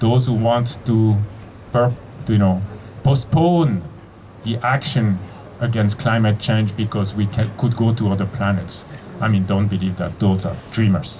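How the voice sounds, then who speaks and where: A man with a Geneva accent speaks at a fairly low pitch with ordinary pitch variation, taking long, frequent pauses over noticeable background noise. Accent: Geneva French-Swiss. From Switzerland, Geneva. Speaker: physicist and university leader. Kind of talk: opening speech. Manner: halting, with fillers and restarts.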